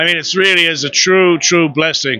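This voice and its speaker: Against noticeable background noise, a high-pitched man talks fairly quickly. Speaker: voice actor. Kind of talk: interview answer.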